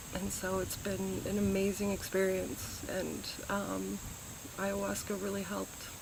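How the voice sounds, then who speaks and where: A woman with an American accent speaks at a fairly slow pace. Room echo is audible, along with noticeable background noise. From US Midwest, Chicago area. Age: 40s. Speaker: retreat participant, high school teacher. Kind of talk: testimonial interview. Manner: hesitant, filler-heavy.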